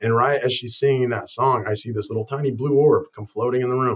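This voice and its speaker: A man with an American accent talks at a fairly quick pace in a somewhat breathy voice over a quiet background. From Colorado, US Southwest. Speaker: chiropractor. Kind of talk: interview. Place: office. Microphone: webcam.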